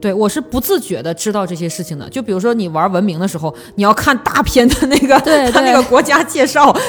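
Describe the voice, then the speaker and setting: Very fast speech from a woman at medium pitch, with very wide pitch swings and noticeable background noise. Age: 30s. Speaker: podcast host, advertising professional. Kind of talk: casual chat.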